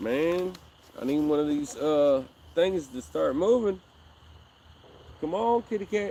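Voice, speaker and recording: Long, frequent pauses break up a man's fairly slow, lively-toned delivery. His voice is high in pitch, with a dark, mellow tone. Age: 40s. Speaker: fishing livestreamer. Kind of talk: casual live stream chat. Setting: outdoors by a river.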